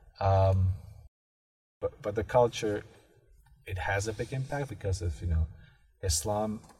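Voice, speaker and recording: A somewhat breathy voice belongs to the man. He speaks at a fairly slow pace. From Bosnia. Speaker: graduate student. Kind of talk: interview. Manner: halting.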